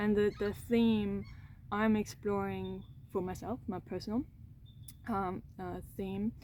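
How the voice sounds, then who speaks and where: A woman speaks with a non-native accent. She goes at a very slow pace with long, frequent pauses. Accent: foreign accent in English. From Austria. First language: German (Austrian). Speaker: trauma coach, content creator. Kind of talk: personal reflective monologue to camera. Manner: halting, many repetitions and fillers.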